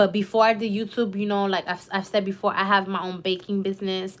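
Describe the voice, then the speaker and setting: A woman with a New York accent, medium pitch and an animated tone on a very clean recording with a silent background. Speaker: YouTuber. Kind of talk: live stream chat.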